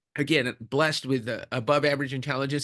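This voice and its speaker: Against a quiet background, a man with a fairly high pitch and a bright, sharp tone talks at a very fast pace. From Mexico, moved to Los Angeles at age eight. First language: Spanish. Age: 50s. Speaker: leadership coach. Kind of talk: interview conversation. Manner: repeats words often.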